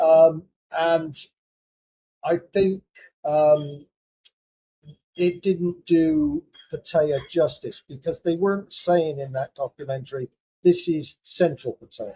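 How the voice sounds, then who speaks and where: Here a man with a British accent talks at a very slow pace. His voice sits at a fairly high pitch with a dark, mellow tone. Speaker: psychotherapist; British Army veteran. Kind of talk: casual talk to camera. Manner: hesitant, many fillers.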